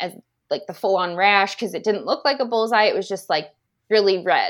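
With a quiet background, a woman with an American accent speaks at a medium pitch with ordinary pitch variation. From Indiana, US Midwest. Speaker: elementary school teacher, former wildlife biologist. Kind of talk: personal testimony.

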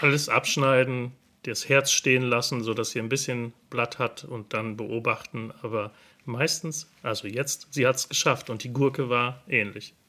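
This man has a medium pitch and a bright, sharp tone. He speaks at a fairly slow pace with fairly even intonation. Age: 50s. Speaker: hobby gardener and gardening video creator. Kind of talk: casual interview. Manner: hesitant, with many filler sounds.

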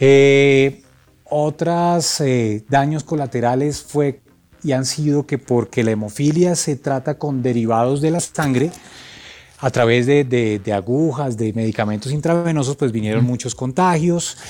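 At a fairly slow pace, a man speaks with a dark, mellow tone, medium pitch and ordinary pitch variation. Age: 40s. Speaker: sound engineer and composer. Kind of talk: testimony.

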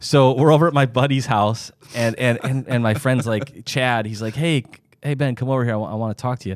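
Talking at a fairly quick pace with an American accent, a man has an unremarkable speaking voice, medium-pitched with fairly even intonation. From US Midwest, Sioux Falls, South Dakota. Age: 40s. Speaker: doctor and podcast host. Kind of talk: casual chat.

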